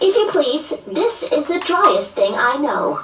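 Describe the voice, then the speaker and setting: In a put-on character voice, high and squeaky with very wide pitch swings, the speaker goes at a fairly slow pace over clear background noise. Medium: read story. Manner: huffy, indignant.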